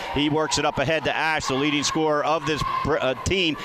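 The speech runs at a fairly quick pace with monotone, flat intonation against noticeable background noise. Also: man. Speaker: radio play-by-play broadcaster. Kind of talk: live commentary. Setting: gymnasium, courtside at mid-court with crowd and band.

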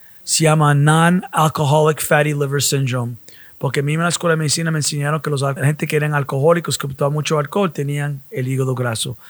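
Speaking very fast, a man with a fairly high pitch keeps his intonation fairly even on a very clean, silent recording. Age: 60s. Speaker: medical doctor. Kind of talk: casual chat.

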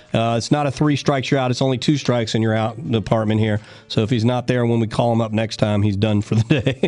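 A man talks in a plain, everyday voice. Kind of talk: radio DJ patter: live gardening call-in show, chatty sponsor plugs and call-taking. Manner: brisk, upbeat and folksy, with quick banter, ad-libbed jokes and sponsor plugs.

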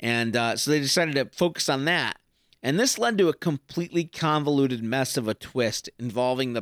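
An unremarkable speaking voice with lively intonation moves at a moderate pace, dry and close with no echo, in a very clean recording with a silent background. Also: man. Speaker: podcast host. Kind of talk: casual solo review. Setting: home recording.

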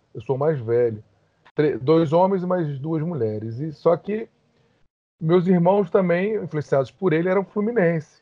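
A man's high-pitched voice, with lively intonation, at a fairly slow pace. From Rio de Janeiro, Brazil. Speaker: lawyer. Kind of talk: podcast interview.

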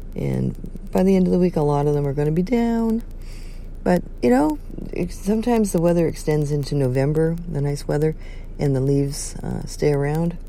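With very deep, low pitch, a woman speaks with lively intonation at a moderate pace. Room echo is audible. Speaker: bishop and wedding officiant. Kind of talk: casual vlog talk with prayer. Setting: outdoors by a river. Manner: hesitant with fillers.

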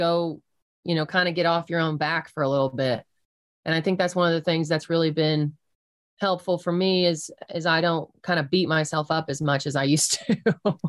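Speaking in an American accent, a woman uses an ordinary speaking voice with a fairly low pitch and fairly even intonation. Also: moderate pace, very even loudness. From southeast Colorado, US. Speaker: country singer. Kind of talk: interview.

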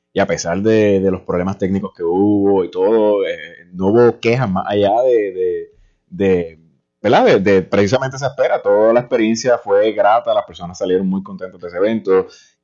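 At a moderate pace, a man talks with a dark, mellow tone, fairly low pitch and fairly even intonation. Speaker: reporter. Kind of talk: radio panel discussion.

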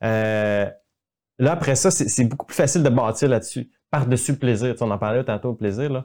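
Dark and mellow in tone, a man moves at a fairly quick pace with ordinary pitch variation. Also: medium pitch for a man. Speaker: video communication coach. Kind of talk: casual chat. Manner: calm.

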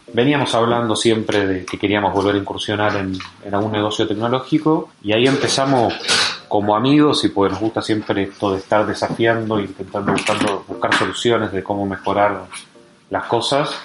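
A man talks at a fairly quick pace in a fairly low pitch, with fairly even intonation. Noticeable background noise runs behind him. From Argentina. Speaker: startup founder. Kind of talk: interview.

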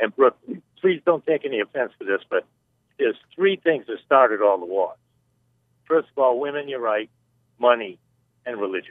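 A man talks at a fairly high pitch and a fairly quick pace. His intonation is lively. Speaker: caller. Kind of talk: casual phone call to radio. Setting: phone call.

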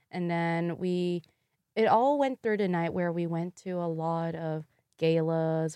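This woman has a fairly low pitch and a dark, mellow tone. She speaks at a fairly slow pace. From Louisville, Kentucky, US. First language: Vietnamese. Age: 20s. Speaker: guest, former pageant queen and public health graduate. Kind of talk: casual interview chat. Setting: studio.

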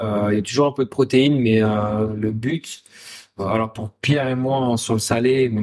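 A man talks in a normal speaking voice at a medium pitch with fairly even intonation. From Essonne, France (Paris region). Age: 20s. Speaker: chef and restaurant co-owner. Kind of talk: casual interview chat.

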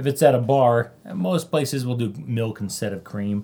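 At a moderate pace, a man with a medium pitch and a dark, mellow, somewhat breathy tone speaks with ordinary pitch variation. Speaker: podcast guest. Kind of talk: casual chat.

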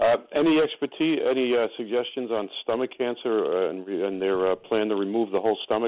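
A man with an unremarkable speaking voice at medium pitch, ordinary pitch variation, a fairly quick pace and hardly any pauses. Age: 60s. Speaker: caller with stomach cancer. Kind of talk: call-in conversation. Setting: phone call.

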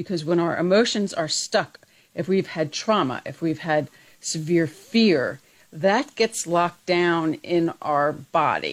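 A woman with an ordinary speaking voice talks at a fairly slow pace, her fairly low pitch showing ordinary pitch variation, on a very clean recording with a silent background. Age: 60s. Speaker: radio co-host, lifestyle segment. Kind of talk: casual chat.

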